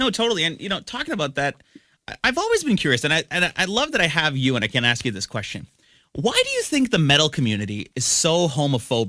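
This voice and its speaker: A man with a fairly high voice talks very fast in a bright, sharp tone, with vocal fry and very wide pitch swings. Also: very clean recording, silent background. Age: 20s. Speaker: podcast host. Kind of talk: interview.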